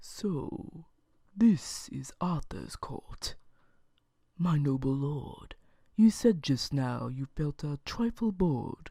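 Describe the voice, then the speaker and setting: In a put-on character voice, soft-spoken and middle in pitch, the speaker goes at a very slow pace with long, frequent pauses. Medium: read story. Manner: courteous, mocking.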